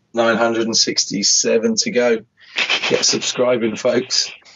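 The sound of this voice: A man's hoarse, raspy put-on character voice at medium pitch, delivered very slowly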